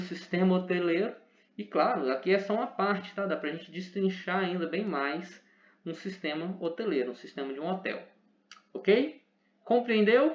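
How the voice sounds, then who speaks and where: This man's voice is high in pitch with lively intonation. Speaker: teacher. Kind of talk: lecture. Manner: fast.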